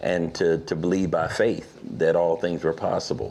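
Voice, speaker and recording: A man with a very deep, low pitch speaks in an American accent. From Pittsburgh, Pennsylvania. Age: 60s. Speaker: author. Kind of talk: interview.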